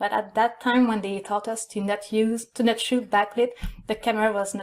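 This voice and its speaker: A woman with a Quebec accent talks at a fairly quick pace, her fairly high voice held in a monotone, flat intonation. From Quebec, Canada. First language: French. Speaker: photographer. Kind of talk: online conference presentation. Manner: halting, many fillers.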